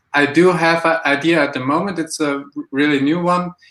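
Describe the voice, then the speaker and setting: A man speaks with a German accent. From Germany. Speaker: aspiring entrepreneur. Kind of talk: live mentoring chat. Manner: halting, hesitant.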